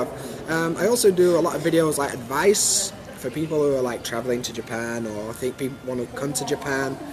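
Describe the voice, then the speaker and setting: A man with a Yorkshire accent talks at a fairly quick pace with hardly any pauses, in a fairly high pitch with ordinary pitch variation. Noticeable background noise sits behind him. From Sheffield, Yorkshire, England. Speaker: YouTuber. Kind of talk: interview answer.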